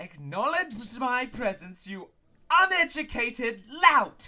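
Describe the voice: Slowly, in a put-on character voice, a man speaks at an extremely high pitch with big pitch swings and a bright, sharp tone.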